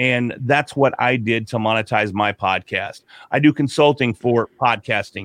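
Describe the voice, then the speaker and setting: A man's normal speaking voice at medium pitch and moderate pace, with fairly even intonation and a dry, close sound with no echo. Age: 40s. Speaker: podcaster and podcast consultant. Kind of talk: casual interview.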